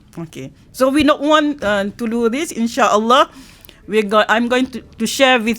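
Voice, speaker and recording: A woman speaks in a high voice. Her intonation is lively. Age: 60s. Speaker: workshop lecturer on self-development. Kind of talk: workshop lecture. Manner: halting, many fillers and restarts.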